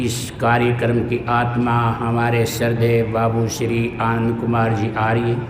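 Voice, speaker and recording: Noticeable background noise and audible room echo around a man's voice at medium pitch. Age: 70s. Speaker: religious teacher. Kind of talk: sermon.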